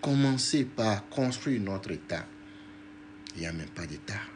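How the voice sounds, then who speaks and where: Somewhat breathy and fairly low in pitch, a man speaks very slowly with lively intonation in a room with audible echo. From Togo. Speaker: diaspora activist and politician. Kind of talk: political livestream talk. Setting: live video stream.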